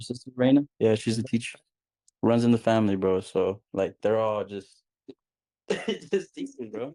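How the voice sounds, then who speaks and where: Dry and close with no echo, a man's dark, mellow voice at a medium pitch moves at a moderate pace with ordinary pitch variation and long, frequent pauses. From Texas, Irving (Dallas area), born in Mexico. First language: Spanish. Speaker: podcast guest, real estate investor. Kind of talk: casual chat. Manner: casual slangy, repetitive.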